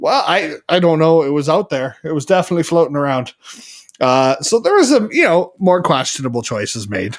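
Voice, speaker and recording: Talking at a fairly quick pace, a man with a Canadian Prairie accent has a fairly high pitch. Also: lively intonation. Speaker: live show co-host. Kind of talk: casual chat. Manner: louder than co-host.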